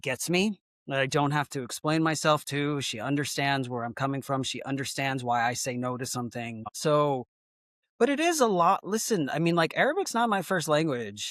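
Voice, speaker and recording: At a moderate pace, the speaker uses an American accent in a very clean recording with a silent background. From Texas. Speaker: actor. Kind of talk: casual chat. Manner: animated.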